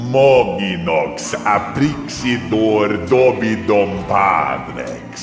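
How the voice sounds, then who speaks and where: Over loud background noise with a slight echo, a man speaks in a put-on character voice. His pitch is fairly low and his pace very slow. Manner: ominous incantation.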